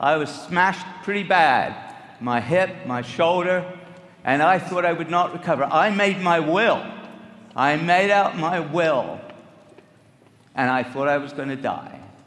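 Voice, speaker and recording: A man with a high voice speaks fairly slowly with ordinary pitch variation and long, frequent pauses. Room echo and background noise are both noticeable. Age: 70s. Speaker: nutrition scientist speaking at a company event. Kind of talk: motivational talk to an audience.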